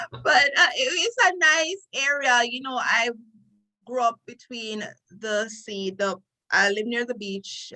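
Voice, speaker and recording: A woman speaks with a Jamaican accent at a fairly slow pace. Her intonation is lively. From Jamaica, Trelawny parish. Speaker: lawyer. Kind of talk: interview.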